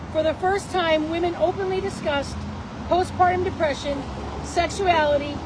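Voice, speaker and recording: With noticeable background noise and audible room echo, a woman speaks at a moderate pace in an extremely high pitch. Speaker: political candidate and business owner. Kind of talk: rally speech. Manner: loud.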